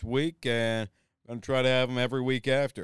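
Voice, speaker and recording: Over a silent background in a very clean recording, a man speaks in a normal speaking voice at medium pitch with fairly even intonation, the sound dry and close with no echo. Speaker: podcast host. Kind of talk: episode intro monologue.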